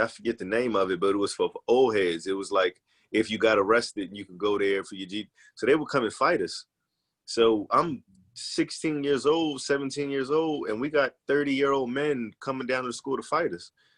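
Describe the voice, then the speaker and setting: Over a quiet background, a man with an ordinary speaking voice talks at a fairly quick pace and a medium pitch. His pitch variation is ordinary, and his loudness swings widely. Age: 30s. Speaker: journalist and actor. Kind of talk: casual podcast interview.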